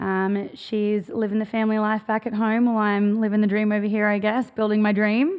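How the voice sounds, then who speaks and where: Delivered in an Australian accent with hardly any pauses, the monotone, flat speech holds very even loudness on a very clean recording with a silent background. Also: woman, fairly high pitch for a woman. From Australia, Gold Coast, Queensland. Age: 30s. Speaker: clothing brand founder. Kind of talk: podcast interview.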